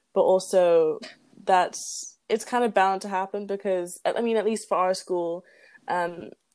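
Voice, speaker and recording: A woman with a British accent talks at a moderate pace in a medium pitch, her intonation monotone and flat. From England. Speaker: podcast co-host. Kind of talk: casual chat between friends.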